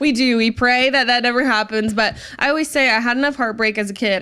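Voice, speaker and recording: Over noticeable background noise, a woman with a fairly high pitch speaks at a fairly quick pace. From Virginia. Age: 20s. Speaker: country singer. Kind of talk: interview.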